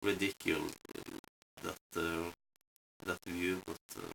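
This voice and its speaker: The mumbled speech has a bright, sharp tone and a dry, close sound with no echo. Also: man. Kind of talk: casual rambling talk to camera. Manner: mumbling; hesitant, many fillers.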